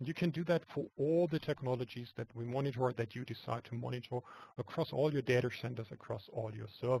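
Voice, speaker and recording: A man speaks at medium pitch in a dark, mellow, somewhat breathy tone. His pitch varies in an ordinary way, and the sound is dry and close with no echo. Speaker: software product presenter. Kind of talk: webinar product demo. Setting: web conference screencast. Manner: soft-spoken; halting, repeats words.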